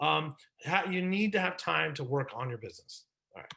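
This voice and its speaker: At a fairly quick pace, a man speaks with a bright, sharp tone. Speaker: business consultant and presenter. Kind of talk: webinar presentation. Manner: fast; animated.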